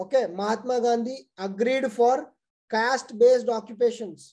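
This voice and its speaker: A man's extremely high-pitched voice with a dark, mellow tone, at a moderate pace with fairly even intonation, against a quiet background. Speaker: exam coaching teacher. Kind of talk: lecture. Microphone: webcam.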